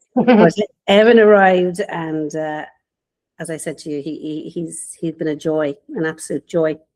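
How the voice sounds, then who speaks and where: A woman speaks with a strong Irish accent at a fairly low pitch. Her pace is moderate, her pitch varies in an ordinary way, and her loudness swings widely. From Ireland, Waterford. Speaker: business mentor. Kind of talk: podcast interview.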